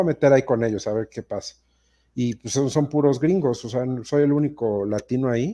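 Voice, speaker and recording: Over a quiet background, a man with a Mexican accent speaks at a fairly quick pace. His tone is dark and mellow, with lively intonation. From Mexico. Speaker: fantasy football podcast host. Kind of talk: casual chat. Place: home room. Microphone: video call.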